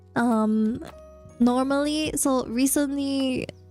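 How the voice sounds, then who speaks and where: With music playing in the background, a woman speaks with fairly even intonation. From Singapore. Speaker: vtuber. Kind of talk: casual talk to stream chat.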